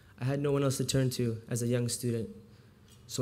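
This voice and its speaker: A man's dark, mellow voice at a medium pitch, monotone and flat, at a fairly quick pace, with audible room echo. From US, childhood partly in Houston, Texas. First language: Farsi. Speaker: volunteer literacy tutor. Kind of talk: speech. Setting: stage with audience.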